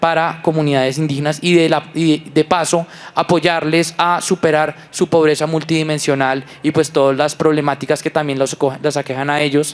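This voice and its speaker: A man's fairly high voice in a Bogotá accent, flat and monotone. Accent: Bogotá rolo. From Colombia, Bogotá. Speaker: environmental entrepreneur. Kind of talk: panel discussion.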